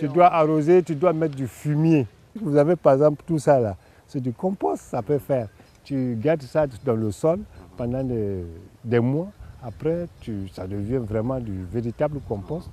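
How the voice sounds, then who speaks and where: With long, frequent pauses, a man speaks at a fairly slow pace in a medium-pitched, dark, mellow voice with lively intonation. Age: 60s. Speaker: gardener. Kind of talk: interview.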